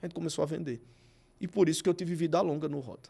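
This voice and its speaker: The recording is spotless, with no background sound at all. A man speaks very quickly, his pitch varying in an ordinary way. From Brazilian Northeast. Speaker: TV presenter and advertising executive. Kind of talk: podcast interview.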